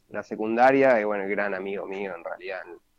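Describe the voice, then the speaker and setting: The sound is dry and close with no echo as a man talks at a fairly low pitch with fairly even intonation. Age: 20s. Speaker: interview guest. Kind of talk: casual interview. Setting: at home during lockdown.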